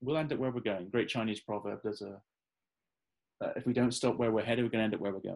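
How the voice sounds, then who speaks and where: With a Midlands accent, a man of medium pitch speaks at a very fast pace over a quiet background. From English Midlands, Staffordshire. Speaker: futurist and author. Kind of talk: interview conversation.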